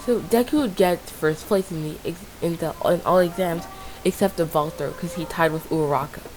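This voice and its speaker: Over music in the background, a woman with a fairly low pitch and ordinary pitch variation speaks at a moderate pace. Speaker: fan fiction storyteller. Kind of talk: improvised story narration. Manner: halting, self-correcting.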